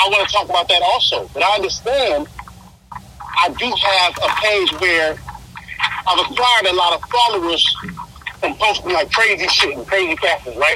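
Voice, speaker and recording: A man speaks in a raised, projected voice at a high pitch and a moderate pace, with long, frequent pauses. There is noticeable background noise. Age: 40s. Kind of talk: casual chat. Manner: halting, repeats words.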